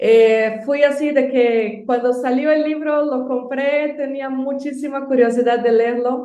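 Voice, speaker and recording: The voice has a dark, mellow tone and monotone, flat intonation. It moves at a fairly slow pace with hardly any pauses. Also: woman, high pitch for a woman. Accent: Brazilian. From Brazil. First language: Portuguese (speaking Spanish). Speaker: university administrator. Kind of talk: guest book recommendations.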